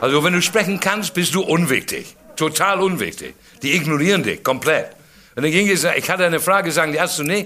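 Through noticeable background noise, a man with a high pitch speaks at a fairly quick pace, his loudness very even and his pitch varying in an ordinary way. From England. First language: English (speaking German). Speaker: comedian. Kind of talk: stand-up.

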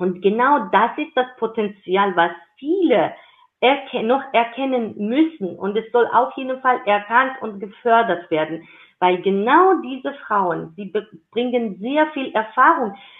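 In a Georgian accent, a woman with a fairly high pitch speaks at a very slow pace with lively intonation. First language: Georgian (speaking German). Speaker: intercultural career advocate. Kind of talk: interview.

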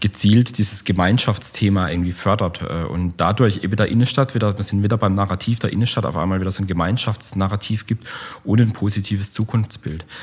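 Somewhat breathy, a fairly low male voice speaks fairly quickly with fairly even intonation. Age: 40s. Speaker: architect and urban planner. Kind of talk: casual interview. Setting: meeting room. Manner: hesitant, many fillers.

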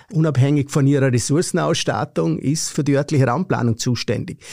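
A man with a Vorarlberg accent speaks at a moderate pace in a fairly high pitch, his tone dark and mellow with vocal fry. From Austria, Vorarlberg. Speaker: professor of land policy. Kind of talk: interview.

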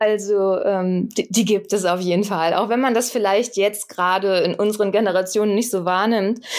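At a moderate pace, a woman with a medium pitch speaks in a flat monotone, keeping her loudness very even and hardly pausing. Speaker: screenwriter. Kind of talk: interview. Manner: many filler sounds (ähm).

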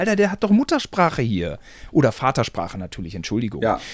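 In a very clean recording with a silent background, a man with a fairly high voice makes very wide pitch swings. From Germany. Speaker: podcast co-host. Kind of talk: casual chat.

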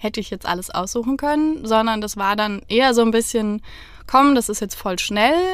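This woman has an ordinary speaking voice with a fairly high pitch. She talks at a moderate pace. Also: ordinary pitch variation. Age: 30s. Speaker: divorced interviewee. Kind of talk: casual chat. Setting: inside a parked camper van.

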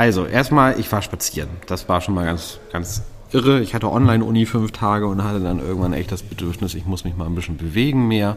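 Hardly any pauses break up an unremarkable speaking voice that keeps a fairly quick pace and ordinary pitch variation. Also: man, fairly low pitch for a man. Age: 30s. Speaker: podcast co-host. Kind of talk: casual chat. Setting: pub.

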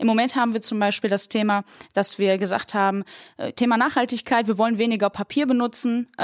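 In a normal speaking voice, the speaker talks at a fairly quick pace with very even loudness and fairly even intonation, in a dry, close recording with no echo. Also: woman, fairly high pitch for a woman. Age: 20s. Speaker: bank innovation manager. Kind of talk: casual discussion. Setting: podcast studio.

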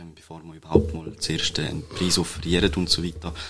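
A man speaks at a fairly quick pace. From Switzerland, Toggenburg (St. Gallen). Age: 20s. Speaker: computer scientist, web agency co-founder. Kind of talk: interview. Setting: studio. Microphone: shared microphone, may sound quieter.

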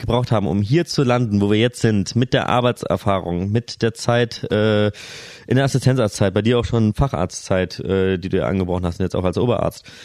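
A man talks in an ordinary speaking voice, fairly low in pitch, with ordinary pitch variation at a moderate pace. The sound is dry and close, without echo. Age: 30s. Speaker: family doctor. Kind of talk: casual chat.

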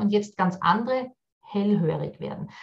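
Her voice somewhat breathy, a woman talks with ordinary variation in pitch. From Austria, Vienna. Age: 40s. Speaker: business consultant and workshop trainer. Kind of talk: podcast interview.

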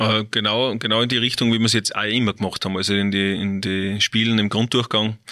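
A man talks at a fairly quick pace with hardly any pauses, his voice fairly low in pitch and bright and sharp in tone. His intonation stays monotone and flat. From Austria, Salzburg (Seekirchen am Wallersee). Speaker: football coach, former pro player. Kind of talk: interview. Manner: halting, many fillers.

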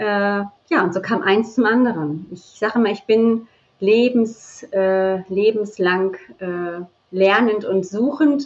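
The speaker is female, with a mid-range pitch that shifts in a usual way. She talks very slowly. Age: 40s. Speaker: birth and bonding mentor. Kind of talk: interview.

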